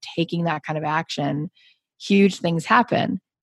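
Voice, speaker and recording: A plain, everyday voice from a woman, fairly low in pitch with ordinary pitch variation, at a moderate pace, with a dry, close sound and no echo. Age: 40s. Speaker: podcast host and business coach. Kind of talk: interview.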